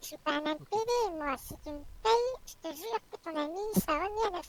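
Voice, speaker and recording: In a put-on character voice, a man sounds squeaky and extremely high-pitched at a moderate pace. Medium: actual play. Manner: brusque, boastful, sniffs at end of lines.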